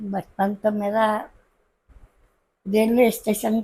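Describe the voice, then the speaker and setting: A woman's somewhat breathy voice, dark and mellow in tone, sits at a fairly high pitch with ordinary pitch variation. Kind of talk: interview answer. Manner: quiet, heartfelt.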